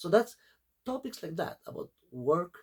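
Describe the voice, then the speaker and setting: A man is speaking. He has a non-native accent. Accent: foreign. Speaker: small YouTuber. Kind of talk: casual vlog talk. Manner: halting, many fillers.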